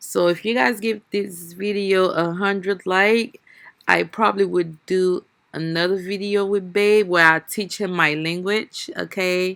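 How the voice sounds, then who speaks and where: A woman with a non-native accent talks at a fairly slow pace. Her pitch sits in the medium range and her intonation stays fairly even. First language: not English. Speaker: family vlogger. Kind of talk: cooking vlog. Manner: casual, chatty.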